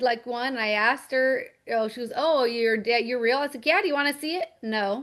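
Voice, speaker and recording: Over a quiet background, a woman speaks loudly at a high pitch with ordinary pitch variation. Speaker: network marketing team leader. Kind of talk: casual chat. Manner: animated.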